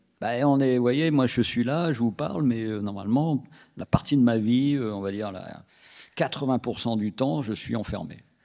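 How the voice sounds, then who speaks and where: A man at medium pitch with a dark, mellow tone, ordinary pitch variation and a moderate pace. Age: 60s. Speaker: comic book author. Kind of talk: interview at public author talk. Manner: halting, many restarts.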